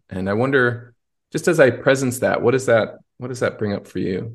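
His voice is somewhat breathy. The man's pitch moves with ordinary variation. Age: 40s. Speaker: podcast host and coach. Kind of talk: casual interview chat.

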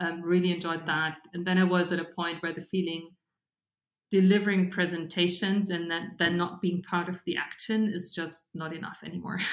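A woman with a German accent talks at a moderate pace in a fairly low voice, her intonation flat and monotone. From Germany, Bavaria (Regensburg). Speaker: fintech startup founder. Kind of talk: interview conversation.

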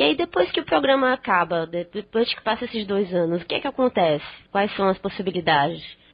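A woman talks in a normal speaking voice at a medium pitch. Her intonation is lively and her pace fairly quick. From Northeast Brazil. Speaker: podcast host and blogger. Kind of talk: interview.

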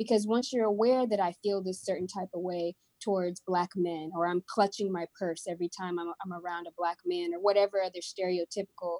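This woman's voice has a dark, mellow tone. The sound is dry and close, with no echo. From Houston, Texas (Kenyan American family; born in Missouri). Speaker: social worker and speaker. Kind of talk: casual interview conversation.

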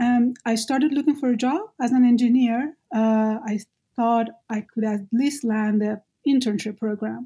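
A woman with a Persian accent speaks at a moderate pace. Her pitch is fairly high. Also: fairly even intonation. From Iran. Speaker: activist and graduate student. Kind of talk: interview conversation.

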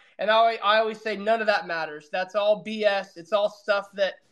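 The voice is raised and projected, racing along at a very fast pace. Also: man. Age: 30s. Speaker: baseball scout and league director. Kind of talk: casual interview. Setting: online audio room.

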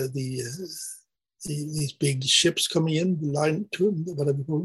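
A somewhat breathy man's voice, fairly high in pitch, at a moderate pace. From Sweden. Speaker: artist and academic. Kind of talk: casual interview.

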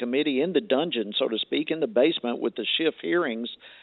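Lively intonation marks this man speaking with a Southern US accent. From Georgia. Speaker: congressman. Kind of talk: political interview. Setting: phone call. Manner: animated.

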